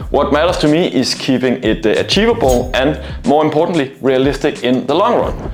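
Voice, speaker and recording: With a non-native accent, a man speaks at a moderate pace and fairly high pitch with lively intonation, amid noticeable background noise and audible room echo. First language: not English. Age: 30s. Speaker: male stripper and fitness vlogger. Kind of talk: vlog monologue. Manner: hesitant with frequent fillers.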